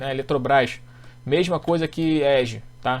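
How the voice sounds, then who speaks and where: Monotone, flat intonation in a man's fairly high-pitched voice. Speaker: economist and stock market trading teacher. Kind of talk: technical chart analysis tutorial. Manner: fast.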